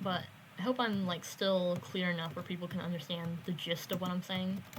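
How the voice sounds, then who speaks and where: Somewhat breathy, a woman talks at a moderate pace with a medium pitch. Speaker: gaming YouTuber. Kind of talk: casual gameplay commentary. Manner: halting, many fillers.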